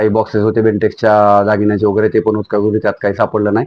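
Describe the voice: A man with a fast pace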